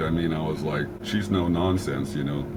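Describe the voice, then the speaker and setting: In a room with audible echo, a man with a very deep, low voice talks at a moderate pace, his pitch swinging very widely. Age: 60s. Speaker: fitness client. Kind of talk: casual chat. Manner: halting.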